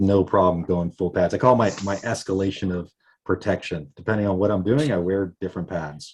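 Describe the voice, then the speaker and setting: At a fairly quick pace and fairly low pitch, a man talks in an unremarkable speaking voice. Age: 40s. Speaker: skateboarder. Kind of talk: casual chat.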